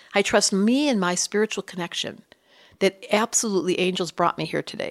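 On a very clean recording with a silent background and a dry, close sound with no echo, a woman with an American accent and an ordinary speaking voice talks at a medium pitch with ordinary pitch variation. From US Midwest, Detroit. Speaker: astrologer and psychologist. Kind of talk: interview.

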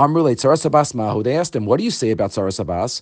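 Over a quiet background, a man talks very fast with vocal fry and very wide pitch swings. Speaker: rabbi teaching Talmud. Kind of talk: Talmud lecture.

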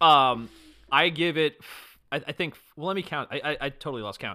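The voice is a plain, everyday voice. It moves at a moderate pace with lively intonation. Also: man. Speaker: guest, musical creator. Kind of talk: casual banter.

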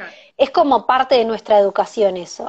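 The speaker is a woman with a fairly high pitch. Her voice sounds dry and close, with no echo. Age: 20s. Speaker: event organizer and teacher. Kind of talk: casual interview. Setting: Instagram live stream on phone.

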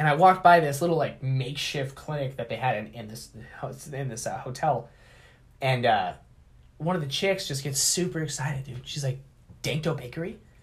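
Talking at a fairly quick pace, a man with a fairly high pitch sounds somewhat breathy, with big swings in loudness, ordinary pitch variation and long, frequent pauses. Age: 30s. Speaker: baker and edibles business owner. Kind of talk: casual chat.

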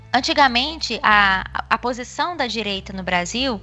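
A woman speaks with music in the background. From Brasília, Brazil. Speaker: institutional relations coordinator, lobbyist. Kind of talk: casual chat.

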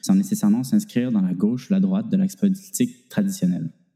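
A man's high-pitched voice with a dark, mellow tone and very wide pitch swings. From Quebec. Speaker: student podcast host. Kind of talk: scripted narration.

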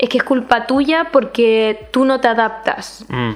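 A woman with a Chilean accent, fairly high in pitch, with fairly even intonation and noticeable background noise. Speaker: podcast co-host. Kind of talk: casual chat.

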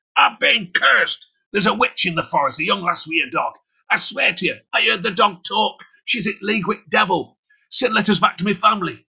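Shouting in a raised, projected, raspy put-on character voice, a man speaks at a high pitch and a fairly quick pace.

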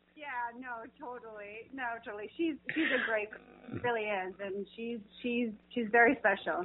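A woman with a fairly high pitch and an American accent speaks at a moderate pace in a normal speaking voice. Her loudness swings widely while her pitch varies in an ordinary way. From New Jersey. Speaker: actress. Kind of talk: casual interview. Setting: phone call.

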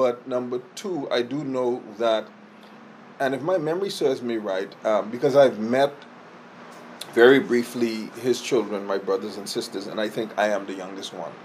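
A man's voice at medium pitch and moderate pace, with ordinary pitch variation and noticeable background noise. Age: 50s. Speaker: insurance agency owner and sales trainer. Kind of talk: interview.

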